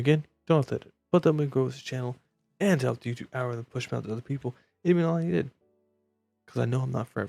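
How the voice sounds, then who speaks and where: A quiet man's voice at a very fast pace, medium in pitch with ordinary pitch variation, dry and close with no echo, music in the background. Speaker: gaming youtuber. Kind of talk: casual gameplay commentary. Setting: home recording at night. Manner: quiet, subdued volume.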